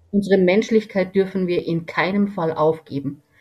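Somewhat breathy speech from a woman at a moderate pace, with ordinary pitch variation. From Lower Bavaria, Germany. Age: 60s. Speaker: veterinarian and homeopath. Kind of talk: interview.

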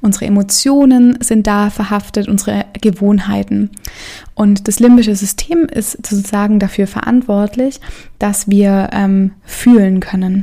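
A woman speaks at a fairly slow pace in an ordinary speaking voice, her medium pitch held in fairly even intonation. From Stuttgart, Germany. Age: 20s. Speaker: yoga teacher and podcast host. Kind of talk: personal monologue; lecture. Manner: casual, many filler sounds.

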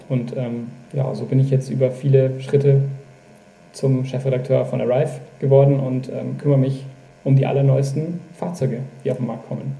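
With audible room echo, a man speaks at a moderate pace in a medium pitch and a monotone, flat intonation. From Upper Bavaria, Germany. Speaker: magazine editor-in-chief. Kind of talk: casual chat. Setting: video call.

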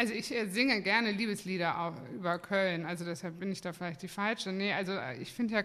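A woman's ordinary speaking voice, medium in pitch, at a fairly quick pace with ordinary pitch variation. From Cologne, Germany. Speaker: brewery owner. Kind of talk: casual chat. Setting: studio.

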